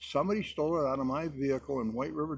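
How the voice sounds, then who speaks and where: A man with an American accent speaks very fast at a medium pitch, with ordinary pitch variation. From Connecticut (Hartford). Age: 80s+. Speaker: military veteran. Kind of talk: casual chat.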